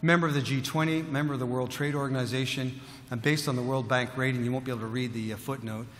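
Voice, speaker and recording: A man talks very fast with fairly even intonation, amid noticeable background noise and audible room echo. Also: medium pitch for a man. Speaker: mining company executive. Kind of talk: conference presentation. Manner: halting, many fillers and repeats.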